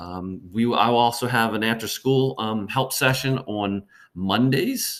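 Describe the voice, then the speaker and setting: Using an American accent, a man speaks at a fairly slow pace with medium pitch and ordinary pitch variation. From Baltimore, Maryland. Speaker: middle school history teacher. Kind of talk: presentation to parents. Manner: hesitant, many fillers.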